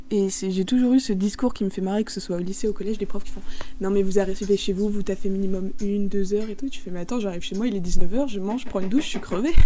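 Over noticeable background noise, a woman talks at a very fast pace, her medium pitch showing ordinary variation. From rural France. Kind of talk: casual chat.

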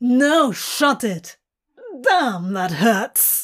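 A woman does a whiny put-on character voice at a very slow pace. Her pitch is fairly high, her tone fairly bright, with big pitch swings.

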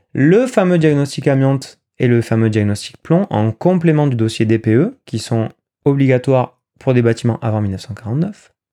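Lively intonation carries a dark, mellow tone. The delivery moves at a fairly slow pace. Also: man, medium pitch for a man. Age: 30s. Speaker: financial and real estate advisor. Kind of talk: solo podcast monologue.

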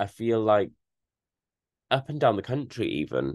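A man talks at a fairly slow pace in a British accent. The sound is dry and close, with no echo. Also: quiet background. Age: 20s. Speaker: podcast host. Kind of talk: solo monologue, casual. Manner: chatty, with frequent fillers.

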